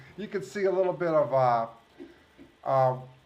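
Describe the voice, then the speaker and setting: A man with a fairly high voice talks at a moderate pace, his pitch varying in an ordinary way. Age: 60s. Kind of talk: casual chat. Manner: halting.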